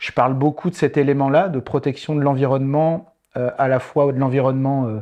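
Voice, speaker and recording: A man with a normal speaking voice and a fairly high pitch talks at a fairly quick pace with fairly even intonation. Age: 40s. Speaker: improv theatre facilitator and trainer. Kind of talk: interview conversation. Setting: studio set.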